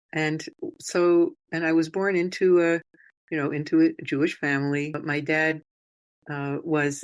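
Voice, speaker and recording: A woman's very deep, low voice at a fairly slow pace, fairly even intonation, quiet background. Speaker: rabbi. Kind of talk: interview. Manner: halting.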